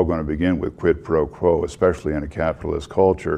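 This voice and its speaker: Over noticeable background noise, a man with an American accent and a very deep, low pitch speaks at a fairly quick pace with fairly even intonation. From Texas. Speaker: panel member. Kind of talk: panel discussion.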